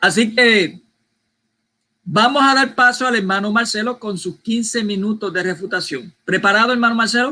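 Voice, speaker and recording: A raised, projected voice with a bright, sharp tone. It moves at a moderate pace with ordinary pitch variation. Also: man, high pitch for a man. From Puerto Rico. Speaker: debate moderator. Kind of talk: debate moderation.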